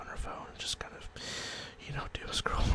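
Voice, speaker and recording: Whispering amid noticeable background noise. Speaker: ASMR creator, collector. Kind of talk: ASMR whispered talk to camera. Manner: whispered.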